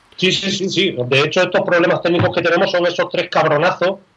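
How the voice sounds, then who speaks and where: The speaker is a man. His pitch is high. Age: 30s. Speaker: podcast co-host. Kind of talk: casual chat.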